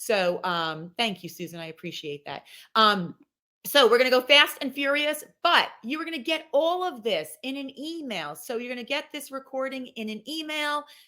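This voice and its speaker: A woman with a high pitch uses a raised, projected voice and an animated tone at a moderate pace, with very wide pitch swings and big swings in loudness. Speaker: company president and webinar presenter. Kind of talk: webinar presentation. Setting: online webinar.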